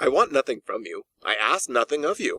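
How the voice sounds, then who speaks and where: Putting on a growling character voice, a man speaks at a moderate pace, the sound dry and close with no echo. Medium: read story. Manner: curt, cold, sneering.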